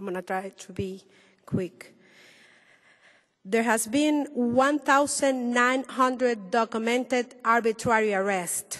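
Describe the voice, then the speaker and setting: A woman speaks very slowly with long, frequent pauses. Her voice is high, with ordinary pitch variation. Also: big swings in loudness. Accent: Spanish. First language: Spanish. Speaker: human rights activist. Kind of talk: panel presentation. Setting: roundtable with audience.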